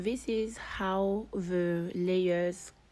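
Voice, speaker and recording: Music plays in the background as a woman speaks with fairly low pitch and fairly even intonation. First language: not English. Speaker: digital artist. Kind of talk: tutorial.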